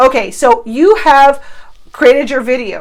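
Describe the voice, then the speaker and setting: A woman speaks with an animated tone. Her pitch is high. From Cuba. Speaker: online marketing coach. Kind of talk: tutorial.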